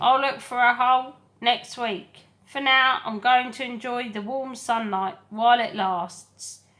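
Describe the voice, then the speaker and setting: In a croaky, put-on character voice, a woman projects loudly at a high pitch and a fairly slow pace. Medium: read story.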